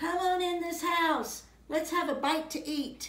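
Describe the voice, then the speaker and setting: A woman's squeaky, put-on character voice, extremely high in pitch, with fairly even intonation and a fairly slow pace. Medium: read story. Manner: homely, folksy, gentle.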